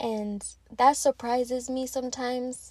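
A woman speaks in a flat monotone. Her voice is somewhat breathy. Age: 20s. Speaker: podcast host. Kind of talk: casual monologue.

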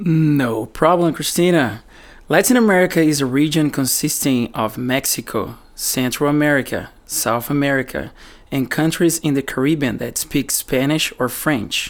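A man at fairly high pitch with a Portuguese accent, moderate pace and ordinary pitch variation, on a very clean recording with a silent background. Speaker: musician. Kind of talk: educational explanation.

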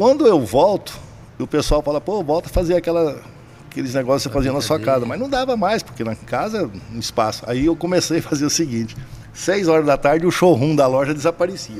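Here is a man with an unremarkable speaking voice and lively intonation. His pitch is fairly high and his pace fairly quick. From Brazil, Cuiabá, Mato Grosso. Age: 60s. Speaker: poker entrepreneur. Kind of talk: casual chat.

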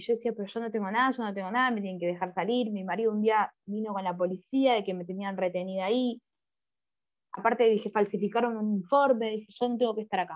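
Very fast and fairly even in intonation, a woman speaks at a fairly high pitch. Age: 30s. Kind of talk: testimony. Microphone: muffled at first, covered microphone.

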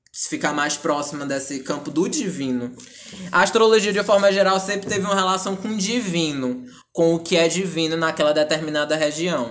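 A man speaks at a moderate pace with a high pitch. His pitch varies in an ordinary way. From Ceará interior, northeast Brazil. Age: 20s. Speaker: psychologist. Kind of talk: interview, explanatory.

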